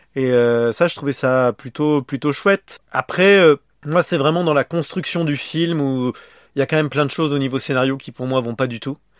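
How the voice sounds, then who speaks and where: With a normal speaking voice, a man talks at a moderate pace and fairly high pitch with ordinary pitch variation, in a dry, close sound with no echo on a very clean recording with a silent background. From France. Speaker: podcast host. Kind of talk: casual chat.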